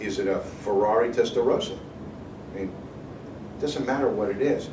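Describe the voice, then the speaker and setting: The speaker uses lively intonation. Noticeable background noise and audible room echo come through. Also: man. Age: 60s. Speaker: financial advisor speaking to students. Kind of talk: motivational talk to students. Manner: animated.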